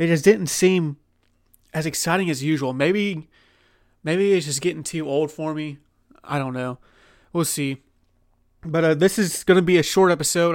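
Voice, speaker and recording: On a very clean recording with a silent background, a normal speaking voice keeps fairly even intonation and a fairly quick pace. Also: man. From Oklahoma. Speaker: sports podcast host. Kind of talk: casual solo sports commentary. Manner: conversational with many fillers.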